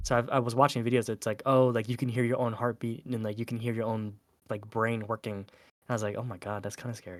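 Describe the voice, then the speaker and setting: This man speaks at a very fast pace. His medium-pitched voice stays monotone and flat. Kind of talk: casual podcast conversation.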